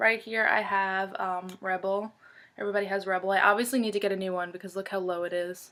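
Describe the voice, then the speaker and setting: On a very clean recording with a silent background, a woman at medium pitch speaks very fast in a flat monotone. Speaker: beauty vlogger. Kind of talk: casual chat. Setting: home bedroom.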